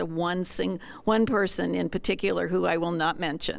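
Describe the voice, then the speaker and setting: Vocal fry runs through this woman's speech at a fairly quick pace. The recording is very clean, with a silent background. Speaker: workshop participant. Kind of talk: group discussion sharing.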